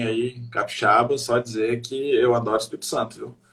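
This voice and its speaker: A man with a Minas Gerais accent speaks at a medium pitch with fairly even intonation over noticeable background noise. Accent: Mineiro Brazilian Portuguese. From Brazil, Minas Gerais (Belo Horizonte). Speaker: comedian. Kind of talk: casual chat.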